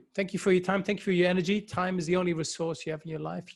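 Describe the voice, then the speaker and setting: On a very clean recording with a silent background, a man with a Dutch accent sounds somewhat breathy. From Netherlands. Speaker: virtual facilitation trainer. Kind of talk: live stream chat.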